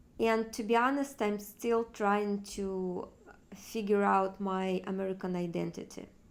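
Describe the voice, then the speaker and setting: A woman's medium-pitched voice in a Russian accent, with fairly even intonation and a fairly slow pace. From Far East Russia. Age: 30s. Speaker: vlogger. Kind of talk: personal vlog monologue. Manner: halting, with fillers.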